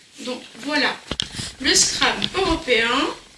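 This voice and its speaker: Very slow speech from a woman, with noticeable background noise and audible room echo. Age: 60s. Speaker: crafts youtuber. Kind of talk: casual chat. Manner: conversational.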